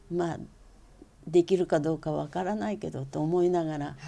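The speaker is a woman with a very deep, low pitch. Her tone is dark and mellow, her intonation fairly even. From Tokyo, Japan. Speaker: calligrapher. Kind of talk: interview.

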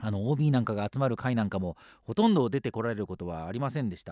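A man with an ordinary speaking voice talks at a medium pitch and a fairly quick pace on a very clean recording with a silent background and a dry, close sound with no echo. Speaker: radio host. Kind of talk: radio show monologue.

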